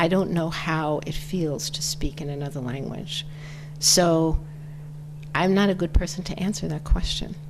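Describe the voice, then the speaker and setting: With an American accent, a woman speaks at a moderate pace, her very deep, low pitch held in fairly even intonation. Noticeable background noise and audible room echo fill the recording. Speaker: author and feminist speaker. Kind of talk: interview.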